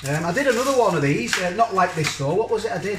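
A man's voice against noticeable background noise. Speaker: food reviewer. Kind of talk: casual vlog chat. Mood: cheerful, chatty. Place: kitchen. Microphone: phone near.

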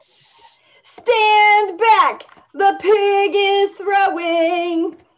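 A put-on character voice is delivered at an extremely high pitch. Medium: read story. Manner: upbeat, excited.

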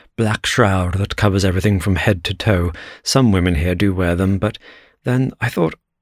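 Intonation stays fairly even throughout this natural reading voice.

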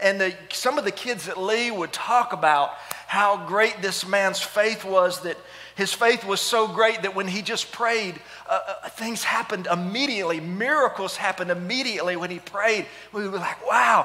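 A man speaks in a raised, projected voice. His pace is moderate, with ordinary pitch variation. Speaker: pastor. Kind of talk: sermon. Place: church. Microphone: headset.

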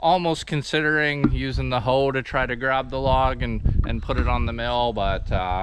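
A man with an unremarkable speaking voice talks at a moderate pace, dry with no echo, over light background noise. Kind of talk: casual vlog chat. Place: open country. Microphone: phone near.

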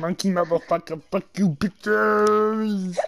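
A strained, female-sounding put-on character voice at a medium pitch and a fairly slow pace. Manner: silly, shouting, crude.

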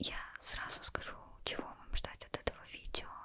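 At a moderate pace, the woman talks in a whisper. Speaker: vlogger. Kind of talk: casual vlog chat. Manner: soft close-mic ASMR speech. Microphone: studio mic.

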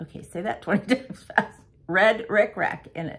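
The speaker is a woman. Vocal fry runs through her voice. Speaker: cross-stitch vlogger. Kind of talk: casual vlog chat. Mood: relaxed, chatty. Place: home room. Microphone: phone near.

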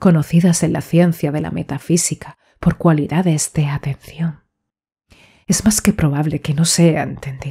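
This woman has a very deep, low voice that is somewhat breathy. She speaks at a moderate pace with fairly even intonation. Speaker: audiobook narrator. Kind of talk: audiobook reading of a horror short story. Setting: home studio, USB condenser microphone.

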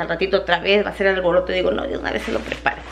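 The speech races along at a very fast pace. Light background noise runs underneath. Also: woman. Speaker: vlogger. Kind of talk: casual vlog chat. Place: kitchen. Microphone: phone near.

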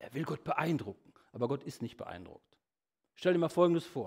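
A man's fairly high voice with vocal fry, very wide pitch swings and a moderate pace against a quiet background. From Germany, Lippe region (Bad Salzuflen); Germany. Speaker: evangelist, guest preacher; preacher. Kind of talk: sermon. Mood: humorous, lively. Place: church.

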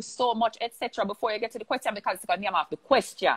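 A woman's bright, sharp tone, fairly high in pitch, over a quiet background. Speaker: discussion host. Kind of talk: live interview hosting. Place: home room. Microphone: earbuds.

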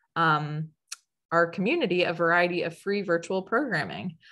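Using a normal speaking voice, a woman talks fairly quickly at a fairly low pitch. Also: quiet background. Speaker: educator, webinar host. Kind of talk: webinar introduction. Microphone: webcam.

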